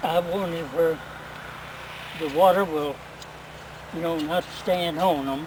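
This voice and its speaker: With noticeable background noise, a man speaks at a high pitch and a fairly slow pace, his intonation fairly even and his speech broken by long, frequent pauses. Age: 90s. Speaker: elderly gardener. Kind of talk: casual instructional answers to daughter's questions.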